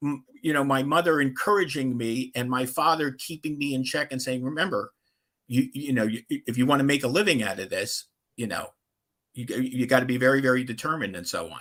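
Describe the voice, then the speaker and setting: A man with an unremarkable speaking voice talks at a fairly quick pace and a medium pitch, with ordinary pitch variation. The recording is very clean with a silent background. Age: 60s. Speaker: NFL writer and historian. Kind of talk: interview.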